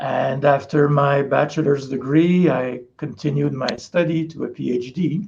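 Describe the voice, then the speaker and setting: A man with a Quebec accent speaks at a fairly slow pace, his pitch fairly high. His tone is dark and mellow, somewhat breathy, with fairly even intonation. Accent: French Canadian accent in English. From Quebec, Canada. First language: French. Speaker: parasitologist professor. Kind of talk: interview.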